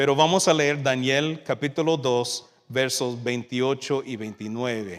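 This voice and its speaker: An American accent at a fairly slow pace, with ordinary pitch variation, on a very clean recording with a silent background. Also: man. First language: English (speaking Spanish). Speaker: youth minister, guest preacher. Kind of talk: sermon. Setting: church service with congregation, livestreamed. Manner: halting, with fillers.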